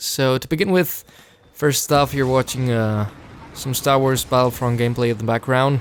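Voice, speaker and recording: There is noticeable background noise as a man speaks with a Spanish accent. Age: 20s. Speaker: voice actor and vlogger. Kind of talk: casual vlog monologue. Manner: hesitant, many fillers.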